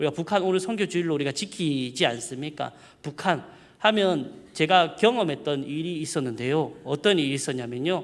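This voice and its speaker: Fairly high in pitch, a man talks with ordinary pitch variation. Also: moderate pace. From South Korea, Mungyeong, North Gyeongsang. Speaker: preacher. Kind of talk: sermon. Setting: church. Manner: casual, conversational.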